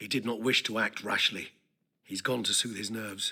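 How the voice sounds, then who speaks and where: A man speaks at a moderate pace in a raspy, put-on character voice at a medium pitch. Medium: video game. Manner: formal, measured.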